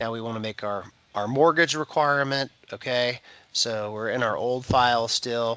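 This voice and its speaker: With a bright, sharp tone and medium pitch, a man speaks at a moderate pace using ordinary pitch variation. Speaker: title insurance trainer. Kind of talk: screen-share tutorial. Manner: casual, frequent 'okay' and 'right'.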